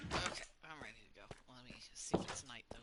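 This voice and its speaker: This voice has an American accent and a bright, sharp tone. The pace is moderate. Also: woman. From US South. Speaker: gaming streamer. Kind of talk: casual gameplay commentary. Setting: live stream. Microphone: choppy audio from internet problems.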